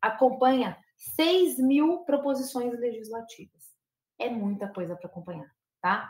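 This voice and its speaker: Woman speaking at a moderate pace with lively intonation. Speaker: professor and lobbying expert. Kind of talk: lecture.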